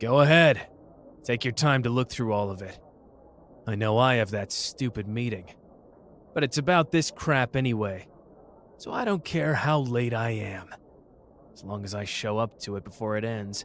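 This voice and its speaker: A man speaks in a gruff, put-on character voice at a medium pitch, with ordinary pitch variation and a moderate pace. His loudness swings widely, and he leaves long, frequent pauses. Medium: audio drama. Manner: gruff, impatient, swearing.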